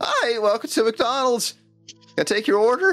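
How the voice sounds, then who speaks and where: Over faint music in the background, a female-sounding put-on character voice speaks at a moderate pace and a fairly high pitch. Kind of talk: young, awkward.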